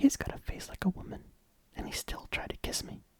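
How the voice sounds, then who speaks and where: The speaker is whispering. The tone is calm and relaxed. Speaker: ASMR reader / YouTuber. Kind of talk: ASMR novel narration. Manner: calm, relaxed, soft-spoken.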